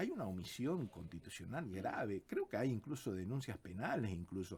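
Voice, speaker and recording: A man of medium pitch talks at a moderate pace with very wide pitch swings, very even loudness, and a somewhat breathy quality. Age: 60s. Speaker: constitutional lawyer. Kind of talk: radio interview.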